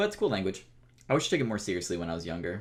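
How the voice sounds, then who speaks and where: A very deep, low-voiced man with an American accent is heard in a very clean recording with a silent background. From Florida, US. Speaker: podcast host, gamer YouTuber. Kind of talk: casual chat.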